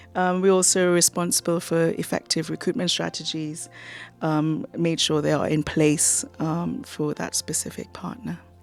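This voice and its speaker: With music in the background, a woman's fairly low voice moves at a moderate pace with ordinary pitch variation. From Trinidad and Tobago. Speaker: university international partnerships officer. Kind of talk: radio interview.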